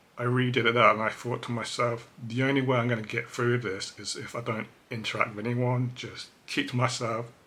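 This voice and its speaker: Flat and monotone, a man talks at a fairly quick pace in a medium pitch. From England, Cambridge. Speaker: vlogger. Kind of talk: personal testimony. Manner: hesitant, filler-heavy.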